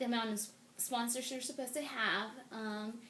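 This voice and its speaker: A woman talks at a fairly quick pace. The room echo is audible. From Mexico. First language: Spanish. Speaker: interviewee, immigrant. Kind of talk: interview.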